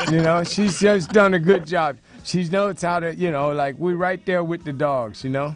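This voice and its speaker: A man speaks at a moderate pace in a fairly high pitch with ordinary pitch variation. Noticeable background noise runs behind him. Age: 50s. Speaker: talk show host. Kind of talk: casual chat. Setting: studio. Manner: animated.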